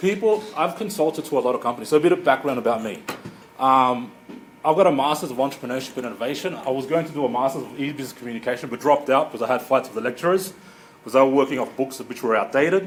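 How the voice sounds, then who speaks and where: Noticeable background noise runs through the clip. A man talks at a very fast pace, with a medium pitch and ordinary pitch variation. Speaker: marketing consultant. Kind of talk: presentation.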